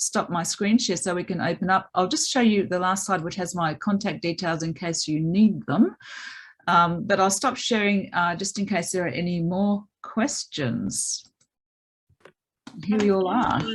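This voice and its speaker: Speaking at a moderate pace, a woman with an Australian accent sounds somewhat breathy. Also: medium pitch for a woman, ordinary pitch variation. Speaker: maths education academic. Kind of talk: webinar presentation.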